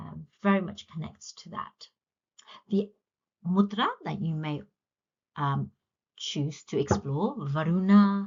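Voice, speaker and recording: A woman speaks at a very slow pace, somewhat breathy, with long, frequent pauses. Her loudness swings widely while her pitch variation stays ordinary. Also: medium pitch for a woman. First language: Punjabi. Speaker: yoga teacher. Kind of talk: lecture.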